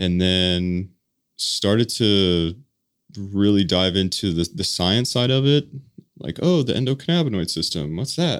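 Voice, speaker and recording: Lively intonation in an American accent at a moderate pace, on a very clean recording with a silent background. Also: man. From Colorado. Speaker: business founder, former firefighter. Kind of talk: interview.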